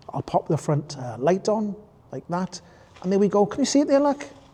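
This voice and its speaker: A man with a Welsh accent talks at a high pitch and a moderate pace. His pitch swings very widely, against noticeable background noise. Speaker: e-bike reviewer. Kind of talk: ride-along review commentary. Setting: outdoors on a bike. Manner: casual, chatty.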